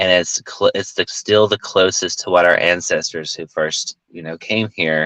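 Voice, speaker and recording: A man talks at a fairly slow pace with a Southern accent. The sound is dry and close, with no echo. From US South. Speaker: film director and actor. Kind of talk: interview conversation.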